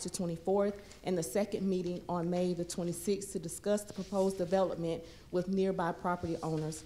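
At a fairly quick pace, a woman speaks in a dark, mellow tone with fairly even intonation. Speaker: city planning staff; presenter. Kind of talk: formal staff presentation. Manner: formal. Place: meeting room. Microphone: podium.

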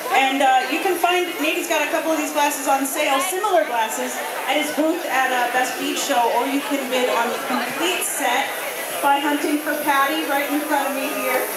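Amid loud background noise and audible room echo, a woman speaks at a moderate pace. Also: ordinary pitch variation. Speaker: event commentator. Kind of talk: live event commentary. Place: hall.

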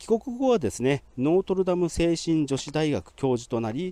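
A man speaks with very wide pitch swings and a dark, mellow tone. The sound is dry, with no echo. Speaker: grave tour guide. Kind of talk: on-site historical presentation. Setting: outdoors at a cemetery grave. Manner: formal, polite with frequent fillers. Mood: calm, informative. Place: open country.

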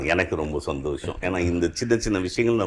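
Here a man speaks with a very deep, low pitch. His pitch varies in an ordinary way. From Chennai, India. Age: 60s. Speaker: retired high court judge. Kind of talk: interview testimony.

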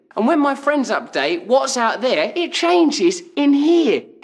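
Against a quiet background, a man with a high-pitched voice talks at a moderate pace. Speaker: comedian. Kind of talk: TV commercial read. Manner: comedic, playful. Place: home room.

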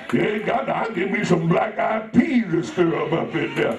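Audible room echo and light background noise surround the recording. A man speaks at a moderate pace. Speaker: pastor. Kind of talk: sermon. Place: church.

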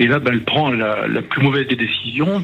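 A man talks at a fairly quick pace with ordinary pitch variation, over noticeable background noise. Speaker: journalist. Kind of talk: storytelling. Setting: phone call. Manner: halting.

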